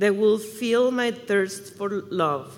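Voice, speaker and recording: The speaker talks very slowly in a Mexican accent. Pitch variation is ordinary. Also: woman. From Mexico. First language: Spanish. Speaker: church member. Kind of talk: testimony. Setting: church service with congregation.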